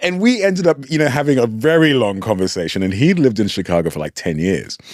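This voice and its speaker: In a British accent, a man talks at a very fast pace with an animated tone and very wide pitch swings. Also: medium pitch for a man. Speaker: podcast host. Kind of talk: casual chat.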